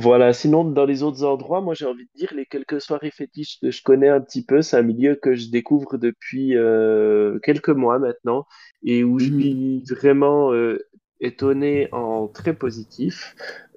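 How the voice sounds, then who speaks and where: A man with an ordinary speaking voice, medium pitch, fairly even intonation and big swings in loudness, at a fairly slow pace. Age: 30s. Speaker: drag queen podcast co-host. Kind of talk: casual chat.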